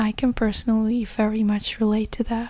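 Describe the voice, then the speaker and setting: Soft-spoken, gentle-toned speech at a moderate pace over noticeable background noise. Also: woman. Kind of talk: ASMR whispered ramble to camera, comforting talk. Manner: soft, gentle, rambling, comforting.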